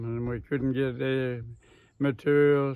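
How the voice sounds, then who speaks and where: At a fairly slow pace, a man with an Australian accent talks in a monotone, flat delivery at a medium pitch. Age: 80s+. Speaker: farmer and engineer. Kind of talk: interview answer.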